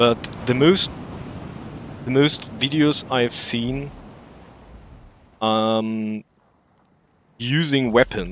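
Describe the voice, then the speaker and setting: A man with a German accent, at a very slow pace. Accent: German accent, self-described as awful. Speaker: game streamer. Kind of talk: gaming livestream commentary. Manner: halting, searching for words.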